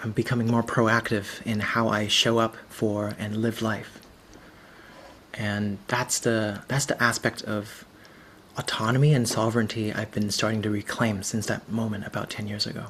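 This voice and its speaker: A man with a Cantonese accent speaks at a moderate pace in monotone, flat intonation. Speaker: visual storyteller and facilitator. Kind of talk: presentation.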